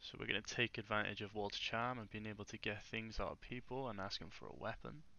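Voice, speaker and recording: Speaking at a very fast pace with hardly any pauses, a man shows vocal fry at a fairly low pitch with ordinary pitch variation. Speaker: gaming youtuber. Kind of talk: gameplay commentary. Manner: hesitant, many fillers.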